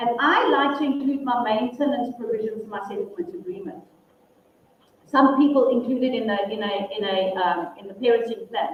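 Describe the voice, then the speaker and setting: Loud and lively in intonation, a woman with high pitch speaks at a moderate pace amid noticeable background noise and audible room echo. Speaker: family law attorney and mediator. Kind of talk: workshop presentation and Q&A.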